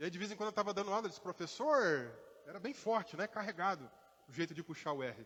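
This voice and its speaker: Talking at a very fast pace, a man with a high-pitched voice uses lively intonation. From Minas Gerais interior, Brazil. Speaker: pastor. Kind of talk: sermon. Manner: conversational.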